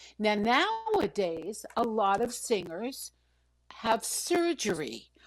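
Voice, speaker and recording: Speaking at a very slow pace with an American accent, a woman holds a fairly high pitch marked by very wide pitch swings. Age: 60s. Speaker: vocal coach. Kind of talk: interview.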